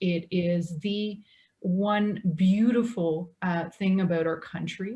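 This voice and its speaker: In a French accent, a woman speaks at medium pitch with a somewhat breathy, dark, mellow tone and fairly even intonation against a quiet background. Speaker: government lawyer. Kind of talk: panel discussion.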